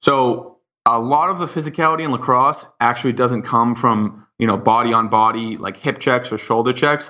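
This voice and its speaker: An American-accented man speaks with an unremarkable speaking voice. His medium pitch shows ordinary pitch variation, and there are hardly any pauses. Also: moderate pace. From Boston area, US. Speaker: professional lacrosse player. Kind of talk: interview.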